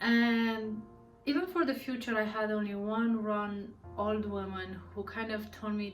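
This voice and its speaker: A woman's voice carries audible room echo, with music playing in the background. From Romania. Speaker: tarot reader. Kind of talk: casual monologue to camera. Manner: halting, with fillers.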